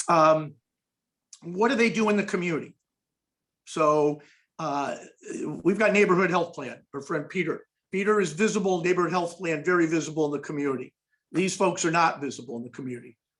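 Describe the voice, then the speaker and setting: A man talks at a fairly quick pace in a high pitch with ordinary pitch variation. Long pauses interrupt him often. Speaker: foundation executive presenting a report. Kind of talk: webinar presentation. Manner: fast.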